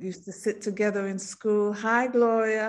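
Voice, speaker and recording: A woman speaks at a moderate pace with a medium pitch. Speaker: singer. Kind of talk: interview. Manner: animated.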